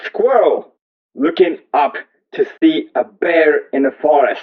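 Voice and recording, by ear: A man at a slow pace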